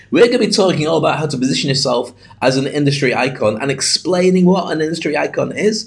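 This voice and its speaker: Over noticeable background noise, a man with a British accent talks at a very fast pace, his fairly high pitch carrying lively intonation. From UK. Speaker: podcast host and speaking coach, ex radio journalist. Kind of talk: solo podcast monologue.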